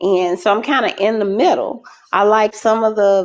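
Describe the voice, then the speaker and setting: This is a woman with a medium pitch. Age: 50s. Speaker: guest on a relationship live stream. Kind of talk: casual chat. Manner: halting.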